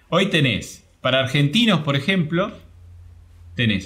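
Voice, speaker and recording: Speaking fairly slowly in a room with audible echo, a man uses a fairly high pitch and lively intonation. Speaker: travel program creator. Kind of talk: interview.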